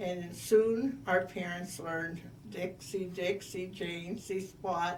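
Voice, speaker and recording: Over noticeable background noise and audible room echo, a woman at medium pitch speaks very slowly with fairly even intonation. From US, Little Italy neighborhood, Italian immigrant family. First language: Italian. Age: 80s+. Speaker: oral history interviewee. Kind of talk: oral history interview.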